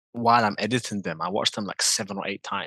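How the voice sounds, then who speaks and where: A man with a British accent talks at a fairly quick pace. His tone is bright and sharp over a quiet background. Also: dry, close sound with no echo. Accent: UK accent, sounds rough and hard. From England. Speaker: drifter and video creator. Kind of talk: casual chat.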